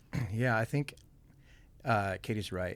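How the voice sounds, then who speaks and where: Man in a very clean recording with a silent background. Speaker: pastor and worship leader. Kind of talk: casual chat. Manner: mumbling; halting, many fillers.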